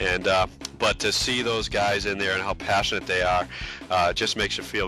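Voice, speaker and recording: A man with a Boston accent talks at a fairly quick pace in a very deep, low voice. Music plays in the background. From US East Coast, Boston. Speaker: sim racing company staff. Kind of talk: interview on a race broadcast pre-show. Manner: hesitant, many fillers.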